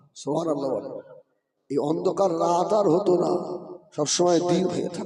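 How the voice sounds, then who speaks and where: A man speaks at a high pitch with fairly even intonation. Audible room echo is present. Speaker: Islamic preacher. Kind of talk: sermon.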